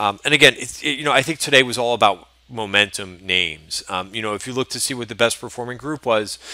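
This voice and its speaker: Very fast speech from a man at medium pitch, bright and sharp in tone, with big swings in loudness. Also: ordinary pitch variation. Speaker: stock trader giving market recap. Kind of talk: market recap video. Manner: casual, with many fillers.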